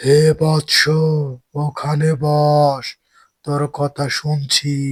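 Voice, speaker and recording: In a cartoonish character voice, a man speaks at a fairly high pitch with monotone, flat intonation in a dry, close sound with no echo. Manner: authoritative, solemn.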